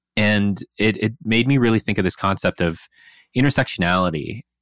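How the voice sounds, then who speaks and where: A man's normal speaking voice at a fairly low pitch and moderate pace, with an American accent, in a dry, close sound with no echo and a very clean recording with a silent background. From US Pacific Northwest, Seattle area. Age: 30s. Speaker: podcast co-host. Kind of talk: casual chat.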